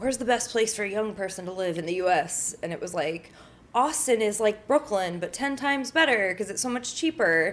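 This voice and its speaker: With an American accent and an unremarkable speaking voice, a woman talks at a moderate pace using lively intonation. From northern Connecticut, US. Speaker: activist and social media creator. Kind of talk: interview conversation. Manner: casual, filler-heavy.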